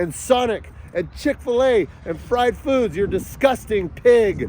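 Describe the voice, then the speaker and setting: Shouting in an animated tone, a man speaks with ordinary pitch variation. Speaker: father in a custody dispute. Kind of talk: angry personal monologue. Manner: yelling.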